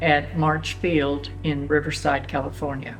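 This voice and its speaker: This speaker talks at a fairly slow pace with a Texas Hill Country accent. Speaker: Texas German speaker. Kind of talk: documentary interview.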